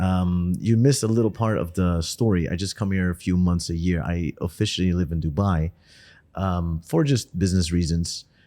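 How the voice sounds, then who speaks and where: A man speaks with a very deep, low pitch and a dark, mellow tone in a Dutch accent. The recording is very clean, with a silent background. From Netherlands. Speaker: podcast host. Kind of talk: casual interview chat. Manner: hesitant with fillers.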